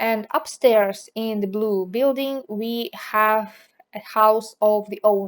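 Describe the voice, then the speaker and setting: Speaking with a non-native accent, a woman has a fairly high pitch and fairly even intonation. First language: not English. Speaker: video game builder YouTuber. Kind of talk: casual gameplay commentary.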